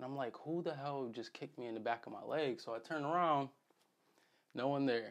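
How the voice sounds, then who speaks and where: Speaking fairly quickly, a man talks in an American accent. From Connecticut, US. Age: 20s. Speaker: vlogger recounting injury recovery. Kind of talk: personal vlog. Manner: casual with frequent fillers.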